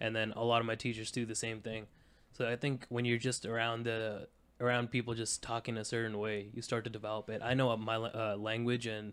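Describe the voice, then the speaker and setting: With an American accent, a man talks at a fairly quick pace in a monotone with flat intonation. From Saudi Arabia (Indian family, international school). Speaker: college student, podcast guest. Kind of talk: casual chat.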